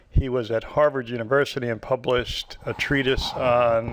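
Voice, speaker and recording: Over noticeable background noise, a man speaks at a moderate pace. His medium-pitched voice has monotone, flat intonation. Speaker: physician lecturer. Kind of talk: lecture.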